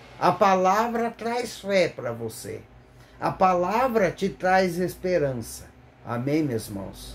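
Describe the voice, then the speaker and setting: A man speaks with a high pitch. His pace is very slow. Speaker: lay preacher. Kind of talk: sermon. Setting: recorded video, not live. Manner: halting, stumbles over words; fervent, exclamatory.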